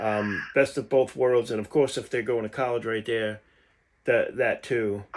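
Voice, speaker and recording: On a very clean recording with a silent background, a man with a New York accent speaks at medium pitch in a monotone, flat intonation. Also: fairly slow pace. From Long Island, New York. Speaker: podcast host. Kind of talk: casual interview.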